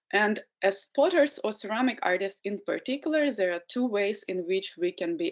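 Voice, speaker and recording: Speaking at a moderate pace with a Ukrainian accent, a woman uses a fairly high pitch with very wide pitch swings. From Ukraine. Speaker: potter and environmental educator. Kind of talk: webinar presentation. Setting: video call webinar.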